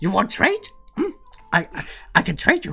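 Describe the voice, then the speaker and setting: This is a put-on character voice. The speaker is a man. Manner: scrawly, scheming trader.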